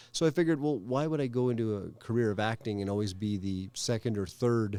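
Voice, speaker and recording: This man talks very fast with a Canadian accent and a medium pitch. His tone is dark and mellow, with ordinary pitch variation. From Calgary, Canada. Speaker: stand-up comedian. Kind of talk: interview answer.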